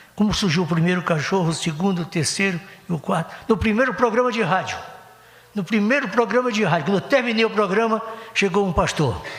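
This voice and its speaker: A man's high-pitched voice at a fairly quick pace with ordinary pitch variation, with audible room echo and noticeable background noise. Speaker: pastor. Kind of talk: sermon. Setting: church. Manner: fast; animated.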